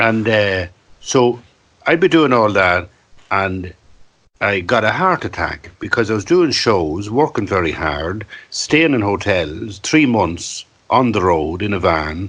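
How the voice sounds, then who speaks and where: In an Irish accent, the speaker talks at a fairly slow pace with lively intonation. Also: man, fairly low pitch for a man. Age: 60s. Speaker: storyteller and writer. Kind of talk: podcast interview. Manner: animated.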